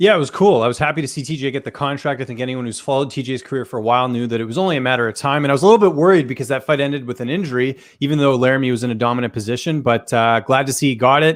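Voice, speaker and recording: A very fast pace in a Canadian accent, hardly any pauses, and ordinary pitch variation. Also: man, medium pitch for a man. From Canada. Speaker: MMA journalist. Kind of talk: casual chat.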